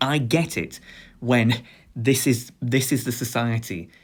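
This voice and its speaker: Recorded very cleanly against a silent background, a man with a British accent speaks at a medium pitch. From Britain. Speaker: video essayist. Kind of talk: lecture. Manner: halting.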